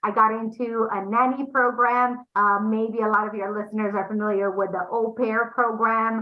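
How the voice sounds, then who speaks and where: Speaking with a Romanian accent, a woman keeps her intonation fairly even. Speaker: entrepreneur, agency founder. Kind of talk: interview. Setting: podcast interview.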